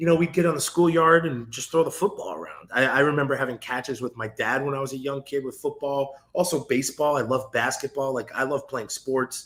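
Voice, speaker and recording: A man with an American accent and an unremarkable speaking voice, using ordinary pitch variation at a fairly quick pace. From New York, Westchester (Edgemont). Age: 30s. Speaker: former football player and university staff. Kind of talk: interview podcast conversation.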